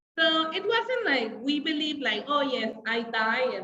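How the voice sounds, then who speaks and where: This woman talks at a fairly slow pace, her pitch swinging very widely. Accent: Spanish. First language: Spanish. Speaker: English teacher. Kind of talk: online class livestream. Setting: live video stream with chat. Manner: casual, filler-heavy.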